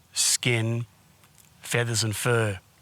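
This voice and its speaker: A medium-pitched man's voice with an Australian accent. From Australia, Perth area. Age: 60s. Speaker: documentary filmmaker telling his life story. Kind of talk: documentary narration.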